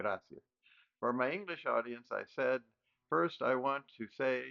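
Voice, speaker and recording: Here a man speaks with an American accent at a moderate pace. His voice is medium in pitch with ordinary pitch variation. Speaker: educator. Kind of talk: lecture. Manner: formal.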